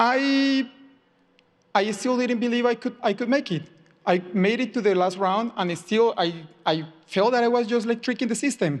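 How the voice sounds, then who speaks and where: Speaking with a Spanish accent, a man uses an extremely high pitch and ordinary pitch variation at a moderate pace, with long, frequent pauses. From Colombia. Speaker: software engineer. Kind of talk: personal talk to audience. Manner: halting, many repetitions.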